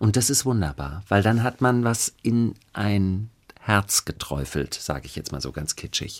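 A man speaks at a fairly slow pace with a fairly low pitch. His loudness swings widely. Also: lively intonation. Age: 50s. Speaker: actor and chanson singer. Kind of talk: interview.

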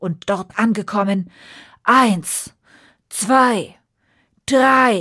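On a very clean recording with a silent background, a woman speaks very slowly at a medium pitch, her bright, sharp tone carrying a slightly husky edge and ordinary pitch variation.

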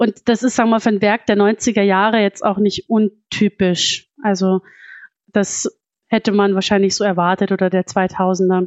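At a fairly slow pace, a woman with a medium pitch speaks in a monotone with flat intonation. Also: very even loudness. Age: 30s. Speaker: psychologist and fantasy author. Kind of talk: interview.

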